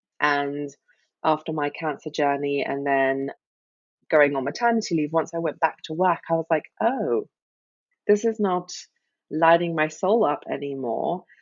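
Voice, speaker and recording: Speaking with a British accent, a woman talks at a moderate pace in a very deep, low pitch. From Britain. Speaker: life coach and cancer survivor. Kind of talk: podcast interview.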